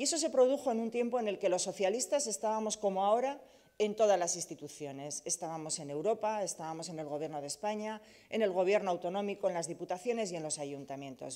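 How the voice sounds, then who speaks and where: A woman's dark, mellow tone at a fairly quick pace over a quiet background. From Basque Country, Bilbao (Deusto). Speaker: politician, party leader and candidate. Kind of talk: campaign speech. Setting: press event. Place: hall.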